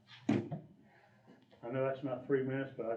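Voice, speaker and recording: A man with an American accent speaks at a fairly slow pace and medium pitch. Room echo is audible, and there is noticeable background noise. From Ohio. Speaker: election candidate. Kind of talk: candidate forum speech. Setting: community room with audience.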